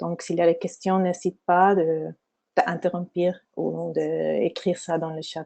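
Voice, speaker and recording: A woman speaks at a very slow pace with a dark, mellow tone and fairly even intonation against a quiet background. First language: not French (speaking French). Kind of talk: webinar lecture. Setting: online webinar. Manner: halting, many hesitations.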